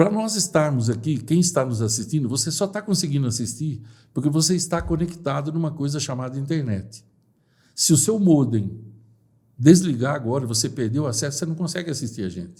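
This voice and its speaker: Fairly high-pitched for a man, this speaker has a dark, mellow tone, a somewhat breathy quality, lively intonation and a fairly quick pace. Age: 60s. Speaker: personal development speaker. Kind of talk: podcast interview.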